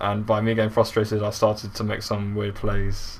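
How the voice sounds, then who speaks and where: A man speaks at a moderate pace in a fairly low pitch. His voice is somewhat breathy. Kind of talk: video game commentary.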